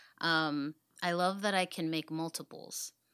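On a very clean recording with a silent background, a woman with an American accent talks at a fairly slow pace in a bright, sharp tone. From US South, Dallas, Texas (Oak Cliff). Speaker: artist, printmaker, graduate student. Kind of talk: casual interview.

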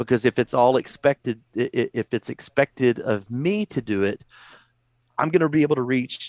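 A man with a Texan accent speaks at a fairly slow pace in a medium pitch with ordinary pitch variation, the sound dry and close with no echo. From Texas. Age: 40s. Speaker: youth pastor. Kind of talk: casual chat. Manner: halting.

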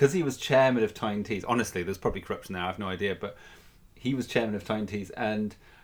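A man with a Geordie accent talks at a very fast pace with a fairly low pitch and ordinary pitch variation, on a very clean recording with a silent background. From North East England. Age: 40s. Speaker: podcast host. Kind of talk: casual chat.

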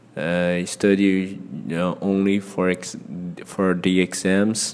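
In a Brazilian accent, a man with a very deep, low pitch speaks in a monotone, flat intonation. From Brazil, Ceará (northeast). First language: Portuguese. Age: 30s. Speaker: English learner podcaster. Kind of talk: casual solo monologue. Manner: halting, frequent fillers.

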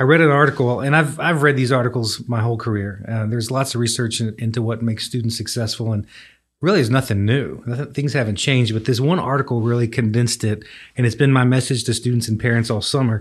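Speaking very fast with a Texan accent, a man keeps a fairly even intonation on a very clean recording with a silent background. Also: medium pitch for a man. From West Texas (Coleman, near Abilene). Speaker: university administrator. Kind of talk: casual chat.

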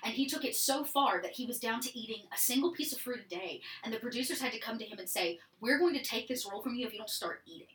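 Speaking very fast in an American accent, a woman with a high pitch uses lively intonation and big swings in loudness amid noticeable background noise. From Georgia, US South (small town). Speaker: improv theatre worker and streamer. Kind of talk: casual chat.

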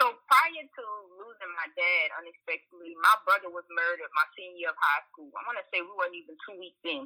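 A woman with an American accent and a normal speaking voice talks at a fairly quick pace in a medium pitch, with ordinary pitch variation, big swings in loudness, and a dry, close sound with no echo. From US South, central Louisiana (Washington, near Opelousas). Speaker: therapist. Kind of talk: interview podcast.

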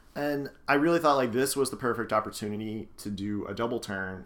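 Here a man talks in an ordinary speaking voice at a fairly quick pace. His pitch varies in an ordinary way. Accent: American. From northeastern US, Scranton, Pennsylvania. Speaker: podcast host. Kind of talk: casual chat. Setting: home living room.

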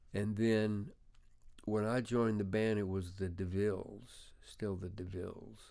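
Speaking at a very slow pace, a man with a fairly low pitch and a dark, mellow tone keeps his intonation fairly even. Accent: Memphis. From US South, Memphis, Tennessee. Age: 70s. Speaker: veteran rock guitarist. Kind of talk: interview, casual chat. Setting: recording studio.

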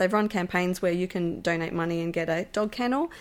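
A woman speaks with an Australian accent and fairly even intonation. The recording is very clean with a silent background. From Melbourne, Australia. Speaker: musician and animal rights volunteer. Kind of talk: casual interview. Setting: at the host's house.

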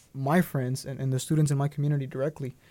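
In a Spanish accent, a man speaks with fairly high pitch and a dark, mellow tone. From Durango, Mexico; raised in Dallas, Texas. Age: 20s. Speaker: DACA recipient, student. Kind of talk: interview testimony. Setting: studio.

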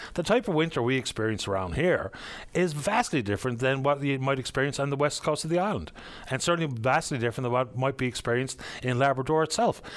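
A very fast, lively man's voice, fairly high in pitch, with very even loudness and a Newfoundland accent. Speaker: radio call-in show host. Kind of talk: call-in radio talk show. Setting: radio studio.

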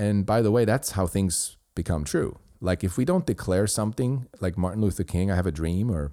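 A man with a Swiss German accent speaks at a fairly quick pace in a dark, mellow tone. The recording is very clean, with a silent background. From Switzerland. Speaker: podcast host. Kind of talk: solo commentary. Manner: halting.

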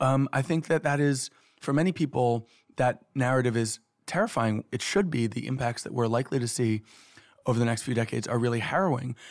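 Using a plain, everyday voice, a man of medium pitch talks fairly quickly with an American accent and ordinary pitch variation. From New York City. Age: 30s. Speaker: author. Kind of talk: interview.

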